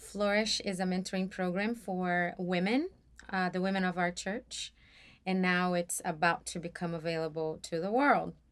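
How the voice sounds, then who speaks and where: A woman speaks with a Portuguese accent and fairly even intonation in a very clean recording with a silent background. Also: medium pitch for a woman, moderate pace. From Brazil, São Paulo. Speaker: church mentoring program leader. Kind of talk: casual interview.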